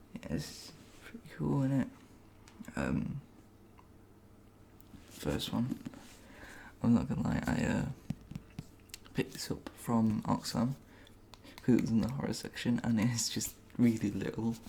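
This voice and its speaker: Whispering, a man talks at a very slow pace. Long, frequent pauses break up his speech. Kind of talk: ASMR book haul talk to camera. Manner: soft-spoken.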